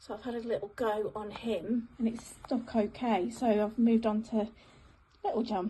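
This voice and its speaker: Her pitch is fairly high, and a woman delivers it in a monotone, flat intonation. The pace is moderate. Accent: English. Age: 40s. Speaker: hobby crafter restoring a gnome. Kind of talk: casual video diary.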